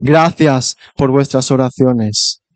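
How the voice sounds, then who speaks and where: The recording is dry and close with no echo as a man speaks at a fairly high pitch with ordinary pitch variation. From Spain. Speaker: visiting preacher. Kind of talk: sermon.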